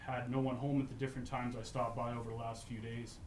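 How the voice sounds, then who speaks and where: A man at medium pitch and a very fast pace, monotone and flat in intonation, with noticeable background noise and audible room echo. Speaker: local resident speaking at public hearing. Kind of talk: public hearing statement. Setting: council chamber public hearing. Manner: hesitant, many fillers.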